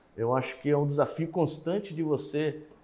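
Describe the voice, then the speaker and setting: This man's voice is fairly high in pitch, with a dark, mellow tone. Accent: strong Uruguayan. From Uruguayan.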